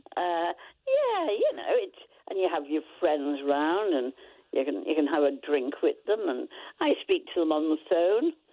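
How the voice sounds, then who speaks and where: A woman with a Lancashire accent at a fairly slow pace. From Lancashire, northern England. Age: 90s. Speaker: caller. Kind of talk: casual chat. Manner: animated.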